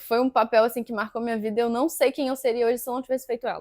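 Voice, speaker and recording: Her fairly high voice, a woman's, keeps a fairly even intonation. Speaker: actress and physics student. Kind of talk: interview. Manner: fast.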